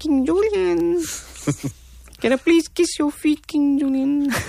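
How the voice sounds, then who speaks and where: In a put-on character voice, the speaker talks fairly slowly at a high pitch. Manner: fawning, eager.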